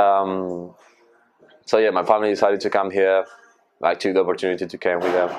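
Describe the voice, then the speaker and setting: A man with a Spanish accent speaks at a very fast pace in a very deep, low pitch, with monotone, flat intonation and long, frequent pauses. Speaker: rugby player. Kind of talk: casual interview.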